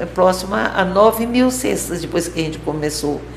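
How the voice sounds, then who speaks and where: Over noticeable background noise and audible room echo, a woman talks at a moderate pace. Her voice is fairly low in pitch. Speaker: nun and social project founder. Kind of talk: interview. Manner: halting.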